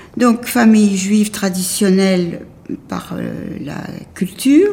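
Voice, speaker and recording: The pace is very slow. A woman delivers it with lively intonation. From Paris, France. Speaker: Holocaust survivor. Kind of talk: testimony. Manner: halting.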